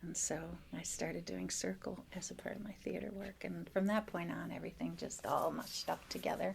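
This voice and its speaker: Over noticeable background noise, a woman speaks at a fairly quick pace with an American accent. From US Midwest, northern Wisconsin. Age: 60s. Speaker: restorative justice practitioner and teaching artist. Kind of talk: podcast interview.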